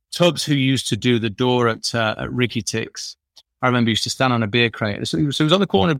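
A man's medium-pitched voice at a very fast pace, dry and close with no echo. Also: very clean recording, silent background. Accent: Yorkshire. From northern England, Sheffield. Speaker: drinks industry entrepreneur. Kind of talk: interview.

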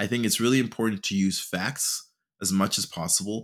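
In a very clean recording with a silent background, a man speaks at a medium pitch with lively intonation. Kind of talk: solo educational podcast talk. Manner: raises voice when animated.

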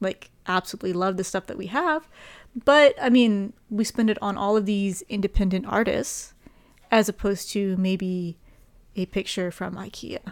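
A woman's fairly high voice, a normal speaking voice, with ordinary pitch variation. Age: 20s. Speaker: podcast co-host. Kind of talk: casual chat.

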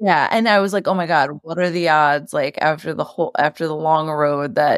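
A woman with a New York accent speaks in a very deep, low voice at a moderate pace. Her pitch varies in an ordinary way on a very clean recording with a silent background. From New York, Queens. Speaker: media company co-founder. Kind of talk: interview.

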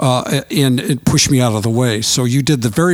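A voice with an American accent comes through noticeable background noise. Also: man. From US Midwest. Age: 70s. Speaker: musician. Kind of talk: casual interview. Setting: recording studio.

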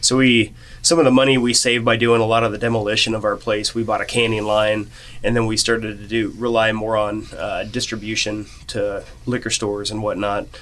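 Speaking at a fairly quick pace in a monotone, flat intonation, a man with a Midwestern American accent keeps a medium pitch. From western Kansas (Norton). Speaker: brewery co-owner and brewer. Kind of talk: casual interview.

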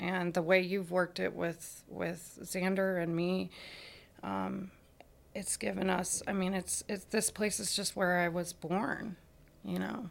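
A woman talks at a fairly slow pace in a fairly low pitch with vocal fry. Her intonation is monotone and flat. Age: 40s. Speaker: person in recovery from alcohol addiction. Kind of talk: interview about personal recovery.

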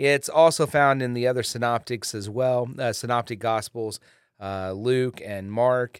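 In a very clean recording with a silent background and a dry, close sound with no echo, a man of medium pitch talks at a fairly slow pace with fairly even intonation. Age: 50s. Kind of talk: devotional teaching monologue. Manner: hesitant with many fillers.

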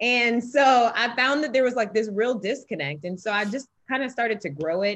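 In a plain, everyday voice, a woman speaks at a moderate pace and fairly high pitch, with lively intonation and hardly any pauses. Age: 20s. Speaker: former pro track athlete, financial analyst. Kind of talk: interview conversation.

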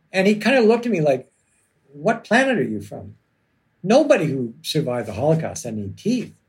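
Fairly quick and fairly high-pitched, a man with a Canadian accent uses vocal fry, very wide pitch swings and big swings in loudness. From Canada, Toronto. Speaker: criminal lawyer and novelist. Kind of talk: casual chat. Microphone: audio track problems.

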